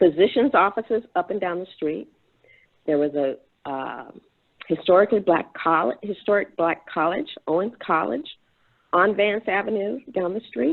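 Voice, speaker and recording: A woman with a Memphis accent talks at a moderate pace, her intonation lively. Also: medium pitch for a woman. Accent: Southern US (Memphis). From US South, Memphis, Tennessee. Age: 70s. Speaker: panelist, priest. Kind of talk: panel discussion.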